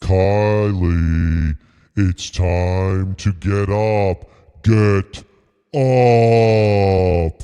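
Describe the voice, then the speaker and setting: At a very slow pace, a man puts on a character voice with a fairly low pitch over a quiet background. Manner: commanding.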